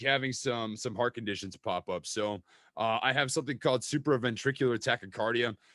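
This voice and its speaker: A man with a Minnesota accent speaks with ordinary pitch variation in a dry, close sound with no echo, on a very clean recording with a silent background. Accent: Minnesota accent, drawn-out vowels. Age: 20s. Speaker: stock trading YouTuber. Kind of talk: casual interview chat. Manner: animated, repeats words.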